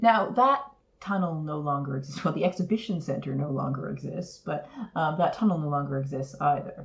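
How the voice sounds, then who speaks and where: With a Canadian accent, a woman speaks at a fairly quick pace. Her pitch is very deep and low, and noticeable background noise is present. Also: ordinary pitch variation. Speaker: podcast co-host. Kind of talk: casual chat.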